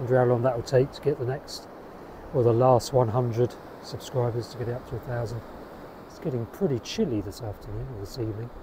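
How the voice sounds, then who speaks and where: Noticeable background noise sits under a man speaking at a fairly quick pace, the sound dry with no echo. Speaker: self-publishing writer vlogger. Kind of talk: casual vlog chat. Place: beach. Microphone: phone near.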